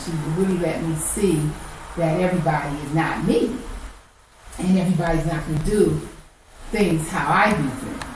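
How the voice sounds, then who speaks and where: Over noticeable background noise and audible room echo, a woman talks at a moderate pace and a fairly low pitch. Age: 60s. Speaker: podcast host. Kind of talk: casual monologue. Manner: chatty, halting with fillers.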